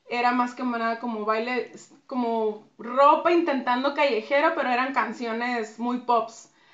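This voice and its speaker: A woman speaks in a high voice at a fairly slow pace. Her intonation stays fairly even. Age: 30s. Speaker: dance choreographer. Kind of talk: interview.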